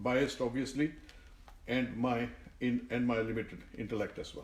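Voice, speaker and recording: This man's voice sits at a medium pitch and is somewhat breathy. He talks at a moderate pace. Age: 70s. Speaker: author and Sikh musician. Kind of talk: reading aloud. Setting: home during lockdown. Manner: halting, many fillers.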